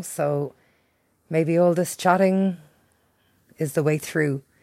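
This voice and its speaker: A woman with a strong Irish accent talks at a fairly slow pace in a dark, mellow tone with ordinary pitch variation. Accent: thick Irish. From Ireland. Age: 40s. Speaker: podcast host. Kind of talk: personal monologue. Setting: at home by a window.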